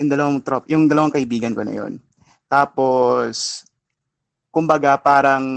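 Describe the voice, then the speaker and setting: With a Filipino accent, a man with a fairly high pitch speaks at a fairly quick pace with fairly even intonation, the sound dry and close with no echo. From Philippines. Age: 20s. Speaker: caller. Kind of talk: personal advice call.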